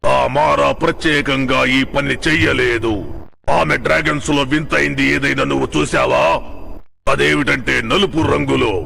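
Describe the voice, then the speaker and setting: A man performs a put-on character voice at a very slow pace. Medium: fan dub. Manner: solemn, measured.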